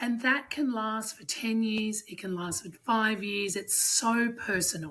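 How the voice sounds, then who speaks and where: A woman with an Australian accent, fairly high-pitched, at a fairly slow pace with hardly any pauses, ordinary pitch variation and a bright, sharp tone. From Australia, Sydney. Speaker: strength coach. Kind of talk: podcast interview.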